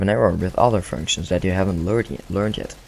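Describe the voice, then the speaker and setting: A man's very deep, low voice with a Flemish accent, over noticeable background noise. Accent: Dutch-speaking (Flemish) accent in English. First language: Dutch. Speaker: gaming commentator. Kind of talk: gameplay commentary. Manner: halting, self-correcting.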